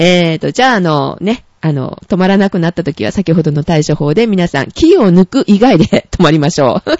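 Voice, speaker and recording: An unremarkable speaking voice from a woman, fairly low in pitch, with lively intonation, a moderate pace and hardly any pauses. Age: 30s. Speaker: podcast co-host. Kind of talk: casual chat.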